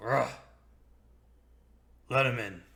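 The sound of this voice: In a put-on character voice, a man sounds gruff and raspy, with audible echo. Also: medium pitch for a man.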